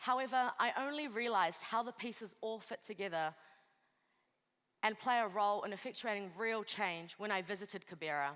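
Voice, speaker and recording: Lively, fairly quick speech from a woman in a New Zealand accent, medium-pitched with a bright, sharp tone. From New Zealand, Kurdish refugee family via Pakistan. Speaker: lawyer and refugee advocate. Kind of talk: motivational speech.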